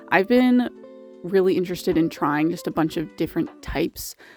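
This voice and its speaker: A woman's fairly low-pitched voice with music playing behind it. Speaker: art youtuber. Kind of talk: voiceover narration. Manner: casual, chatty.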